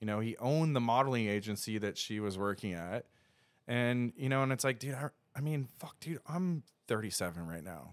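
With an American accent, a man with a plain, everyday voice speaks at a fairly quick pace in a medium pitch with lively intonation. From US Northeast. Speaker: filmmaker and motorcycle traveler. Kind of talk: casual chat. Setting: studio.

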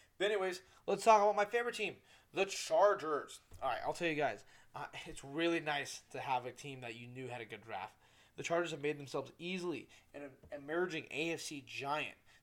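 On a very clean recording with a silent background, a man with a fairly high voice speaks at a fairly quick pace with lively intonation and big swings in loudness. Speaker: podcast host. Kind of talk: casual solo podcast monologue. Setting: home studio with microphone. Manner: fast talker; casual, profane, animated.

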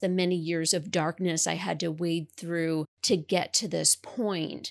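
A plain, everyday voice: a woman with an American accent, fairly low in pitch, fairly even in intonation, at a moderate pace, dry and close with no echo, on a very clean recording with a silent background. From New York. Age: 30s. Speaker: author. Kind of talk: interview testimony.

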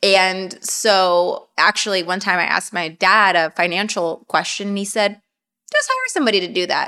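Delivered at a moderate pace, the speech is monotone, with flat intonation. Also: woman, medium pitch for a woman. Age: 20s. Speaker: podcast host. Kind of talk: casual chat.

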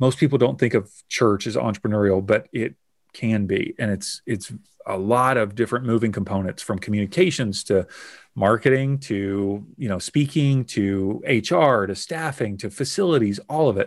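An ordinary speaking voice from a man at a moderate pace, with ordinary pitch variation, on a very clean recording with a silent background. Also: medium pitch for a man. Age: 40s. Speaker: business growth consultant. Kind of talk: interview conversation.

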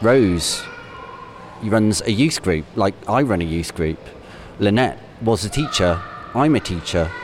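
With a West Midlands accent, a man talks at a fairly slow pace and fairly low pitch, with lively intonation, long, frequent pauses and noticeable background noise. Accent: Coventry English. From Coventry, England (Canley). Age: 40s. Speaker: primary school teacher. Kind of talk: personal reflection. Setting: shopping centre. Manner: conversational.

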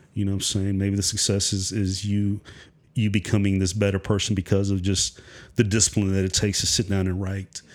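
In a very clean recording with a silent background, a man talks at a fairly quick pace. His pitch is fairly low and his intonation monotone and flat. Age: 40s. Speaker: therapist and author. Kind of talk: casual interview conversation.

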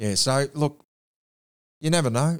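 Ordinary pitch variation from a man with an Australian accent, on a very clean recording with a silent background. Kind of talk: casual interview chat.

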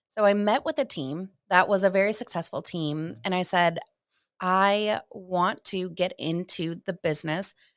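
The speech comes at a fairly slow pace in a plain, everyday voice. The recording is very clean with a silent background, and the sound is dry and close with no echo. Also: woman, medium pitch for a woman, ordinary pitch variation. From Ohio. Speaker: realtor. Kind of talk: casual interview.

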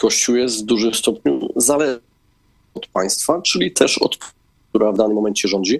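A normal speaking voice at a moderate pace. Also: man. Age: 30s. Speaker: politician. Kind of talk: political interview.

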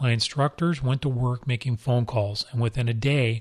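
A man with an American accent, medium in pitch and somewhat breathy, at a fairly quick pace with fairly even intonation, in a dry, close sound with no echo. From Southern California. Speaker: retired police deputy chief, podcast host. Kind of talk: scripted narration.

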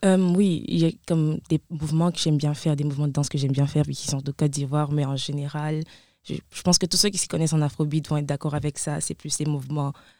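A dark, mellow tone comes through at a very fast pace with fairly even intonation. The recording is very clean, with a silent background. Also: woman, very deep, low pitch for a woman. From Ivory Coast. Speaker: student dancer. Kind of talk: interview.

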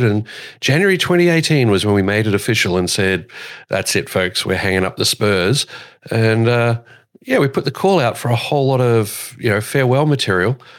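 A man with an Australian accent talks at a moderate pace and medium pitch, his loudness very even. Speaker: podcast host and airshow commentator. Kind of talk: casual chat.

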